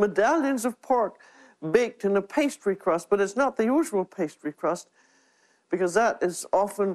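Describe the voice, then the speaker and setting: Against a quiet background, a woman speaks at a moderate pace with very wide pitch swings. The sound is dry and close, with no echo. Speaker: TV cooking show host. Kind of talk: cooking demonstration to camera.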